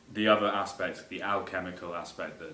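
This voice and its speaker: A man speaks with an English accent at a fairly quick pace. Audible room echo surrounds his voice. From England. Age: 20s. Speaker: composer. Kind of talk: self-presentation of a music piece. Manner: hesitant, many fillers.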